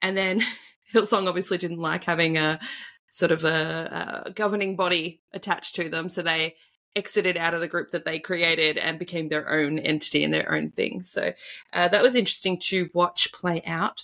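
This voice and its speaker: With an Australian accent, a woman speaks at a moderate pace in a fairly low pitch, her bright, sharp tone carrying vocal fry and fairly even intonation. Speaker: tarot reader and spiritual coach. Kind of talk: casual interview conversation.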